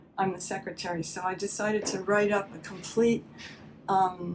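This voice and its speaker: Against noticeable background noise, a woman talks fairly slowly at medium pitch, her intonation monotone and flat. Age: 70s. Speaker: patient giving testimonial. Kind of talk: testimony. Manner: halting.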